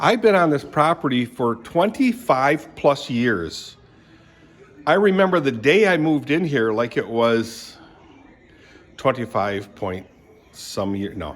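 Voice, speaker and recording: A man with an American accent speaks at a fairly slow pace, with long, frequent pauses. His fairly high pitch swings very widely. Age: 70s. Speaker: retiree vlogger. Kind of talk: casual vlog monologue. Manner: rambling, self-correcting.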